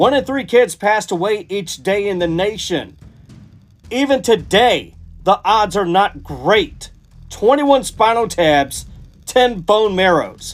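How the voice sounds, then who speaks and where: With music in the background, a man speaks at a very slow pace. His pitch sits high and varies in an ordinary way. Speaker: spoken word poet. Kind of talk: spoken word poetry, motivational and faith-based. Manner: rhythmic, emphatic, inspirational; earnest, declamatory with repetition.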